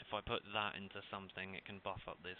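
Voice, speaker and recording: Mumbling at a moderate pace, a man speaks with a very deep, low pitch and monotone, flat intonation. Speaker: gaming YouTuber. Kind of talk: gameplay commentary. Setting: home recording with webcam and headset.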